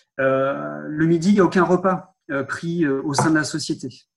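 This man talks at a moderate pace. His intonation is fairly even. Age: 30s. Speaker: sales manager at a dosimetry laboratory. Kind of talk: interview. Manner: hesitant, repeats words.

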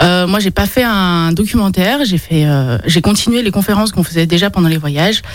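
A woman speaks at a moderate pace in a medium pitch with ordinary pitch variation. Noticeable background noise sits behind her. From born in China, raised with dual French-Chinese culture. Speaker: explorer and speaker. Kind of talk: radio interview. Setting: studio.

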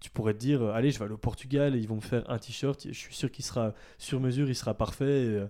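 With a dark, mellow tone, the speech moves at a very fast pace in fairly even intonation. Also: man. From Belgium, Ardennes (southern Belgium). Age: 20s. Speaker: ethical fashion brand founder. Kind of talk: casual interview. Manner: hesitant, many fillers.

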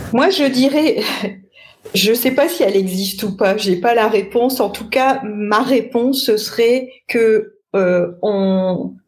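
Very slowly, a woman with a fairly high, somewhat breathy voice speaks with ordinary pitch variation. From northern France, Lille. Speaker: sales trainer. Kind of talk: interview.

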